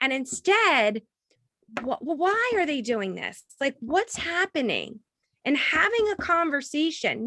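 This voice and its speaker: Her raised, projected voice has a bright, sharp tone and very wide pitch swings, recorded with a dry, close sound and no echo. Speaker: professor and author. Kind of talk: virtual book talk with Q&A. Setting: video call. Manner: stammering repetitions.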